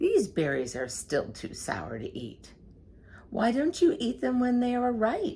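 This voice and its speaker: A put-on character voice, fairly high and fairly slow. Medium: read story. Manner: chirping.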